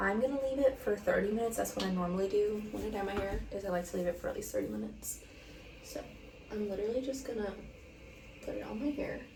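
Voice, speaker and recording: Soft-spoken and at a very fast pace, the voice comes with audible room echo and noticeable background noise. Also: woman. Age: 20s. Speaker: lifestyle vlogger. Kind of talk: casual chat. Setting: bathroom at home. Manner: rambling with fillers.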